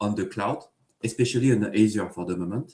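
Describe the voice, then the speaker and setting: A man with a French accent, fairly low in pitch, with ordinary pitch variation. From France. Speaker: engineering manager. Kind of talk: tech talk interview. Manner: hesitant, many fillers.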